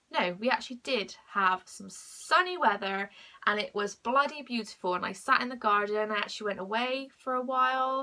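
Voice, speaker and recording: This woman has a fairly high pitch with ordinary pitch variation. Her tone is bright and sharp, and her pace is moderate. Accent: British. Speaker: mental health vlogger. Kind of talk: casual vlog monologue. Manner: halting.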